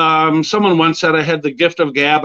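A man with an American accent speaks in a plain, everyday voice at a fairly high pitch. He keeps a moderate pace over a quiet background. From Minnesota, Edina suburb of Minneapolis. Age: 50s. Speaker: former prisoner claiming wrongful conviction. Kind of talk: interview testimony. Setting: studio.

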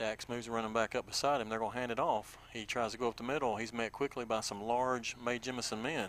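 A man with a Southern US accent talks at a very fast pace and medium pitch, in a monotone, flat intonation. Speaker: radio play-by-play announcer. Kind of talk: live sports commentary. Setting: stadium press box.

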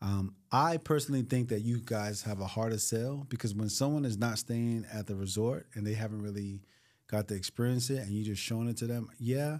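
A man has an ordinary speaking voice at medium pitch, with fairly even intonation. He talks at a fairly quick pace in a very clean recording with a silent background. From US inner city. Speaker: timeshare sales professional and podcast host. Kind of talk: casual podcast chat. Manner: laid-back, slangy.

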